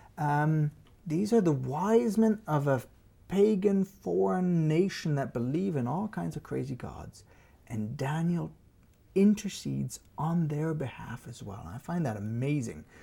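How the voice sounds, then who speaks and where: A man's fairly high, somewhat breathy voice with a dark, mellow tone, very wide pitch swings and a fairly slow pace. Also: big swings in loudness. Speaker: religious discussion show host. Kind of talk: religious discussion. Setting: studio.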